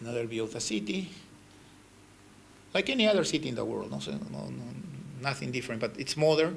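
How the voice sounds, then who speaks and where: A man talks at a very fast pace, yet with long, frequent pauses. Room echo is audible. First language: Spanish. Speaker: ambassador giving a lecture. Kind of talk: lecture with slides. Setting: university lecture hall with audience. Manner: halting.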